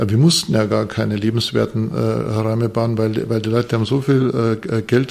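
Noticeable background noise runs behind the recording. A man talks at a moderate pace. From Bavarian Forest, Bavaria. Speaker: architect and professor. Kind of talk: interview. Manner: hesitant, many fillers and repetitions.

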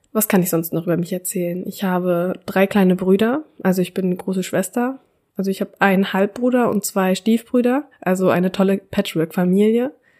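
A moderate pace with ordinary pitch variation. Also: woman, very clean recording, silent background. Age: 20s. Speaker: podcast host, student. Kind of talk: personal monologue.

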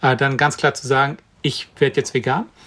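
Here a man with a plain, everyday voice speaks at a moderate pace and a fairly high pitch. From Brandenburg, eastern Germany. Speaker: vegan chef and cookbook author. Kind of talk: interview.

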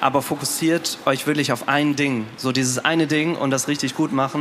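Fairly quick speech with fairly even intonation over music in the background. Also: man. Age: 20s. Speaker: startup co-founder. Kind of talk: stage interview. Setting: stage with audience.

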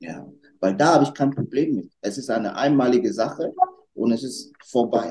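Here a man speaks at medium pitch. His pace is moderate and his pitch variation ordinary. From Germany, North Rhine-Westphalia (Lower Rhine area). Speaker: restaurant owner and trained educator. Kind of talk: interview chat. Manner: energetic.

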